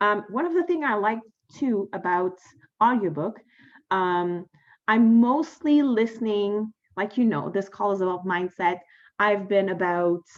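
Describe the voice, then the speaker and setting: The woman's speech holds a moderate pace and ordinary pitch variation, with a quiet background behind her. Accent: French. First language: French. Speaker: podcast host. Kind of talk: casual monologue. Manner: hesitant, many fillers.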